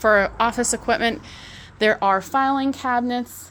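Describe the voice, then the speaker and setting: A woman speaks in a normal speaking voice at a moderate pace. Her pitch variation is ordinary. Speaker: auctioneer. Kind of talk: casual walkthrough video to camera. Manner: friendly, chatty.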